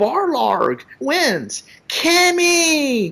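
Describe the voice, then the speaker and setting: Someone speaks in a high-pitched, put-on character voice. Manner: wimpy, effeminate.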